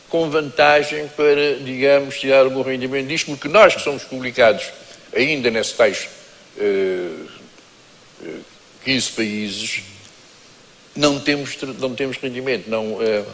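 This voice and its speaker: A man talks with long, frequent pauses and ordinary pitch variation. Noticeable background noise is present. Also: medium pitch for a man, fairly slow pace. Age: 70s. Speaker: writer and lawyer. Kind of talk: panel discussion.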